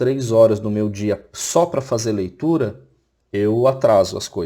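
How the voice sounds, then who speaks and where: A man with a dark, mellow tone and a somewhat breathy quality. His intonation stays fairly even. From Florianópolis, southern Brazil. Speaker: teacher. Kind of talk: recorded online lecture.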